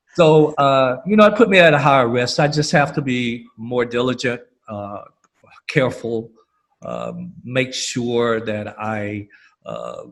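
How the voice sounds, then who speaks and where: A man with a normal speaking voice and an American accent talks at a fairly slow pace, at a medium pitch. His pitch varies in an ordinary way, while his loudness swings a lot. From US South, Alabama. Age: 60s. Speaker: panelist. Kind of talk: panel discussion.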